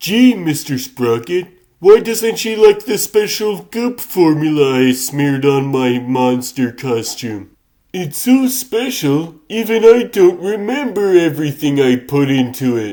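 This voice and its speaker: Putting on a character voice, a man speaks at a fairly slow pace and fairly high pitch, with very wide pitch swings. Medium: fan dub. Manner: showbiz slang.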